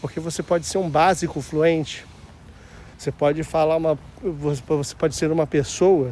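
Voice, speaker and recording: Speaking at a fairly slow pace, a man with a fairly high pitch keeps his intonation fairly even and his tone dark and mellow. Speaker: vlogger. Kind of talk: casual walking vlog. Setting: outdoors, walking. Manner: casual, slangy.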